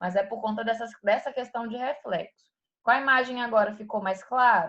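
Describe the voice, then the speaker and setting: A woman speaks at a fairly quick pace. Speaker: anatomy teacher. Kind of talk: online lecture. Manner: fast.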